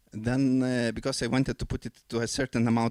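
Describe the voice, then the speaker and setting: Recorded very cleanly against a silent background, a man with a non-native accent has a dark, mellow tone in a dry, close sound with no echo. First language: not English. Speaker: composer and forum speaker. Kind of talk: conference talk. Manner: halting, many fillers.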